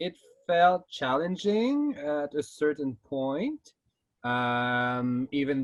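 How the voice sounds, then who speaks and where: A man in a Quebec accent, speaking at a very slow pace. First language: French. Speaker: drag queen contestant. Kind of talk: casual interview.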